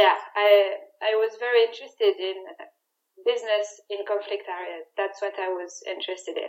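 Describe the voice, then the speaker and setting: Speaking with a French accent, a woman with a medium pitch keeps a moderate pace and a flat, monotone intonation. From France. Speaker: security risk analyst. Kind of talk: interview.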